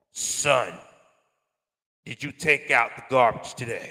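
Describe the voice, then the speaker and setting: Speaking at a fairly slow pace, the talker uses a put-on character voice. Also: man, fairly high pitch for a man. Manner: calm, smooth.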